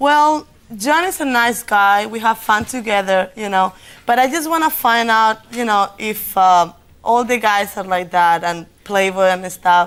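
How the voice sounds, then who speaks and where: With a slight Spanish accent, a woman speaks at a fairly slow pace with lively intonation on a very clean recording over a silent background. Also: fairly high pitch for a woman. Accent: Spanish accent, mild. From Spain, Madrid. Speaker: dating show contestant. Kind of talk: talk show conversation.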